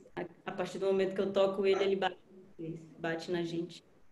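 A woman's monotone, flat delivery with audible room echo. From Brasília, Brazil. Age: 30s. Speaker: musician; panelist. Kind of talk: panel talk on video call. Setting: video call. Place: home room. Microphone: video call.

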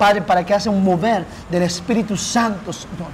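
Against clear background noise, a man with an Argentine accent speaks fast at a high pitch with ordinary pitch variation.

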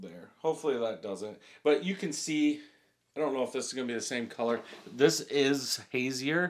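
The speech moves at a moderate speed. Its intonation rises and falls in a lively way. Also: man. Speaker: beer reviewer. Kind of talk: casual review chat. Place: home room.

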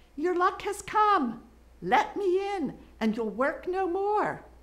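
This is a put-on character voice at an extremely high pitch. It moves along at a fairly slow pace. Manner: calling out through a door.

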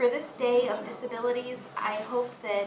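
Over noticeable background noise, a woman speaks in a high pitch. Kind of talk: casual vlog chat. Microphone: phone near.

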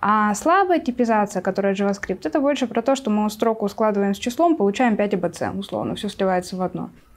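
Woman at a fairly quick pace with hardly any pauses and lively intonation. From Siberia, Russia. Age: 20s. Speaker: Python developer and mentor; guest. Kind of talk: casual chat. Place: studio. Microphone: lapel.

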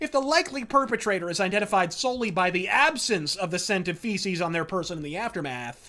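In a raised, projected voice with a bright, sharp tone, a man speaks with very wide pitch swings against a quiet background. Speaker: political commentary video host. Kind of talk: profane, theatrical angry political rant. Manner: profanity-laced, sneering and sarcastic invective; florid, rapid-fire insults with mock-formal flourishes. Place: home room.

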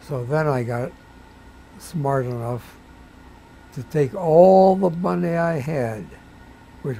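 Very slowly and with lively intonation, a man speaks in a medium-pitched voice that is somewhat breathy, with a dark, mellow tone. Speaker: rabbi. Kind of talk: interview answer.

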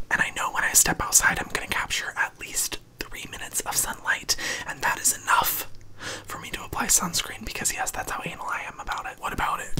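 A man is whispering. His pace is fairly quick. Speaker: skin care YouTuber. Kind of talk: ASMR skin care routine. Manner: whispered. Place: home room. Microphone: studio mic.

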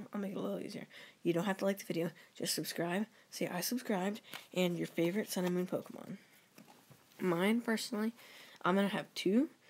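Talking at a very fast pace, a woman leaves long, frequent pauses. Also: medium pitch for a woman, ordinary pitch variation. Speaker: YouTuber. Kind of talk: casual vlog giveaway announcement. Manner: halting.

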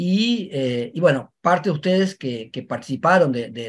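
Pitch shifts in an ordinary way as a man talks at a moderate pace. All around him is quiet. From Uruguay. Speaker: university professor. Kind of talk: academic panel presentation. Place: home room. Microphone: webcam.

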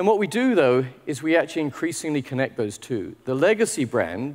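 Against a quiet background, a man speaks with a British accent at a moderate pace. His pitch swings very widely. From UK. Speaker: technology executive; conference keynote speaker. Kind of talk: conference keynote talk. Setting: stage with audience. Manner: informal, humorous. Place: hall.

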